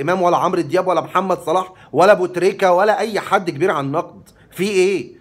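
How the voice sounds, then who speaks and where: With an animated tone and a high pitch for a man, he talks at a fairly quick pace while faint music plays in the background. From Egypt. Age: 40s. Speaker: vlogger. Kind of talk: monologue to camera. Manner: talkative. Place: home room. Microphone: phone near.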